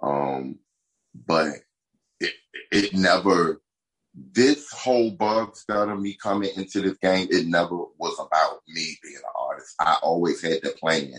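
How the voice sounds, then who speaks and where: A man with a normal speaking voice, a fairly low pitch and lively intonation, at a fairly slow pace with big swings in loudness. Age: 40s. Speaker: music artist.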